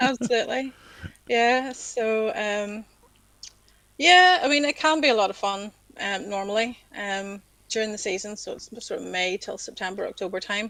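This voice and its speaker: A woman with a Northern Irish accent speaks at a moderate pace with a fairly high pitch and a bright, sharp tone. Her intonation is lively, with long, frequent pauses. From Northern Ireland, County Down. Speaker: civil servant and yacht club secretary. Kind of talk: casual interview chat. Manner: hesitant, many ums.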